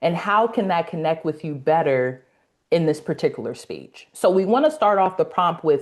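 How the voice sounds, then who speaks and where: A woman with a Los Angeles accent talks at a moderate pace in a medium pitch, her voice swinging very widely up and down against a quiet background. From US West Coast, South Central Los Angeles. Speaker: speaking coach, academy founder. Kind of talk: casual interview on a live webinar.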